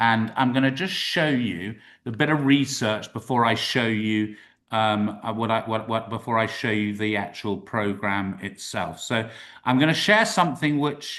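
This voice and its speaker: A man with a British accent, medium pitch, ordinary pitch variation, a bright, sharp tone and a moderate pace. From UK. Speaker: university representative. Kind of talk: webinar presentation. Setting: live-streamed webinar. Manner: casual, upbeat.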